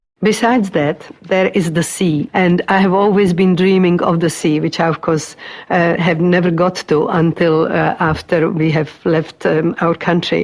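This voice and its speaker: Over noticeable background noise, a woman with a Czech accent speaks at a moderate pace and a fairly low pitch, with hardly any pauses and very even loudness. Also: fairly even intonation. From Czechoslovakia. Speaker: migrant interviewee, retired teacher. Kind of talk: oral history interview. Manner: halting.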